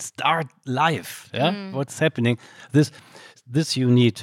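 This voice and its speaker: Speaking at a fairly slow pace in a German accent, a man uses ordinary pitch variation, and the sound is dry and close with no echo. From Germany, Solingen. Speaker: film director. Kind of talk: on-stage Q&A conversation. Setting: stage with audience. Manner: halting.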